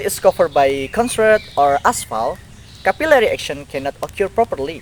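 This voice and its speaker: A man at a high pitch with very wide pitch swings, amid noticeable background noise. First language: Indonesian. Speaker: university student. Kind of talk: educational explainer, scripted.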